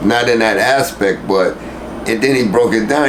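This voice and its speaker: A man with an American accent speaks at a moderate pace with ordinary pitch variation. Audible room echo and noticeable background noise fill the recording. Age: old. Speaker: rapper. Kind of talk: interview. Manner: mumbling; animated.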